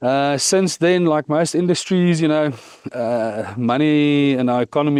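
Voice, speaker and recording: In a South African accent, the speaker keeps a moderate pace, very even loudness and ordinary pitch variation over a quiet background. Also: man. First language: Afrikaans. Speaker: cannabis business founder. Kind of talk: podcast interview.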